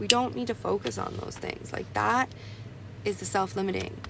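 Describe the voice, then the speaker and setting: Clear background noise runs beneath speech delivered at a medium tempo. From Canada. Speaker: tarot card reader. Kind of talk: tarot reading. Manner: casual, halting with fillers.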